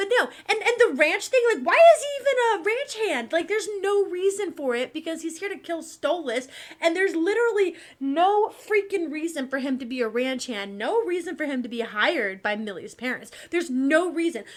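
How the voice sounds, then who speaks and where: An American-accented woman speaks with an animated tone at a moderate pace, with hardly any pauses. Her pitch is extremely high and swings very widely. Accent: Southern accent when angry, otherwise little. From Texas. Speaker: commentary youtuber. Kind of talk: casual commentary. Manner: animated, ranting.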